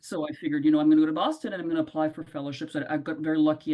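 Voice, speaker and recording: A woman speaks with a non-native accent in a dark, mellow tone. Her intonation stays fairly even. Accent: noticeable foreign. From Ivory Coast. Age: 50s. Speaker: colorectal surgeon. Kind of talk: interview answer.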